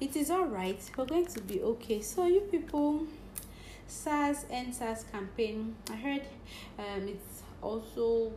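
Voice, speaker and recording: Against noticeable background noise, a woman with a fairly high pitch talks at a very slow pace with lively intonation. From Nigeria, Cross River State. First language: Nigerian native language. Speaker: podcaster. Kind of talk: casual monologue. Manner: animated.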